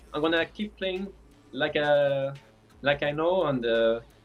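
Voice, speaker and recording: A man with a French accent, fairly high pitch, ordinary pitch variation and a moderate pace. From France. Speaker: esports player. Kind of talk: post-match interview. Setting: live stream. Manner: halting.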